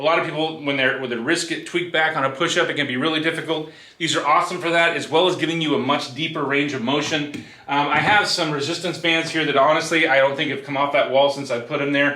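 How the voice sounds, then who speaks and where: Very fast delivery with hardly any pauses and fairly even intonation, amid audible room echo and noticeable background noise. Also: man, fairly high pitch for a man. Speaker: fitness vlogger. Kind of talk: tutorial. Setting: garage home gym.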